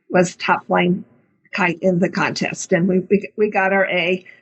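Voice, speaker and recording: A woman speaks in a somewhat breathy voice. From US South, Middle Georgia. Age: 70s. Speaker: retired computer programmer. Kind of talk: talk to students.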